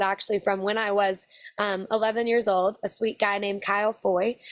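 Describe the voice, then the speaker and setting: A woman talks very fast with an American accent. The recording is very clean, with a silent background. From Texas. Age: 20s. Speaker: country singer. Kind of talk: interview.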